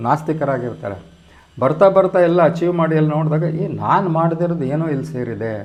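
A fairly high-pitched male voice with ordinary pitch variation and audible room echo. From Karnataka, Kollegal. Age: 70s. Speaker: psychiatrist. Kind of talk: interview.

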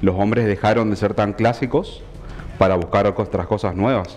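A man's unremarkable speaking voice, fairly low in pitch, with ordinary pitch variation and a moderate pace. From Argentina, Chaco (Resistencia). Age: 30s. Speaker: tailor and fashion designer guest. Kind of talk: TV interview. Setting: TV studio. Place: studio.

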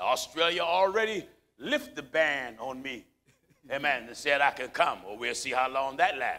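The man's tone is bright and sharp as he talks at a moderate pace. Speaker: preacher. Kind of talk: sermon. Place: hall. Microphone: lapel.

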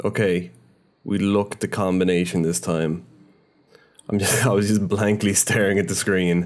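A man with a fairly low pitch speaks at a moderate pace, with ordinary pitch variation and very even loudness. He leaves long, frequent pauses. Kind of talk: casual gameplay commentary. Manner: casual, rambling, self-interrupting; swears freely, mildly frustrated.

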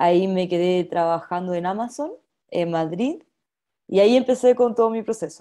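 A woman speaks with a Chilean accent in a dark, mellow tone. The background is quiet. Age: 20s. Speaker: company trainee; presenter. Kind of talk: personal testimony in webinar. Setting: video call. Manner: fast talker when nervous. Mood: friendly, upbeat. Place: home room. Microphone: webcam.

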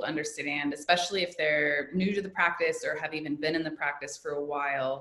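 Speaking with an American accent, a woman uses a very deep, low pitch with ordinary pitch variation. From US Midwest, Indianapolis. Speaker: yoga teacher and educator. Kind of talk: casual interview.

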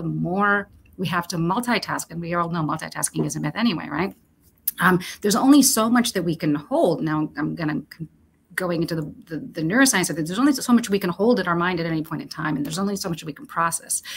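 Somewhat breathy and fairly low in pitch, a woman rushes along at a very fast pace with lively intonation over light background noise. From Romania, moved to the US at about nine. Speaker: HR executive; guest. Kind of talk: interview.

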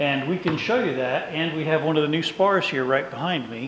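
Against light background noise and audible room echo, a man talks at a moderate pace with ordinary pitch variation. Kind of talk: tour explanation. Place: workshop.

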